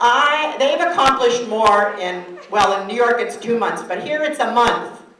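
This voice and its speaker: Over noticeable background noise, a woman with a fairly high pitch talks at a moderate pace in an animated tone, her pitch swinging very widely. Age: 60s. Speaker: activist and keynote speaker. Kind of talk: keynote speech.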